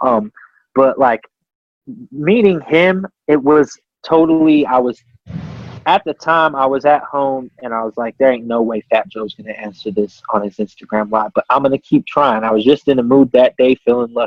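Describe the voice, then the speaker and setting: Delivered at a moderate pace in a normal speaking voice, this speech carries an American accent and ordinary pitch variation. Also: man, medium pitch for a man. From Colorado. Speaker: rapper. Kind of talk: casual chat.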